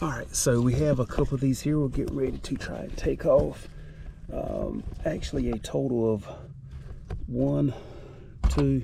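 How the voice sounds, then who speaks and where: A man at a moderate pace, with long, frequent pauses and audible room echo. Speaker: DIY car mechanic YouTuber. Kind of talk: tutorial. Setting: under a car in a garage. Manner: casual, halting with fillers.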